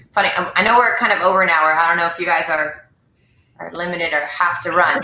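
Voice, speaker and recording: A woman with a fairly low voice talks at a very fast pace, with audible room echo. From French Canada. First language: French. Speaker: sales professional and live show host. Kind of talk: casual chat. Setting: video livestream.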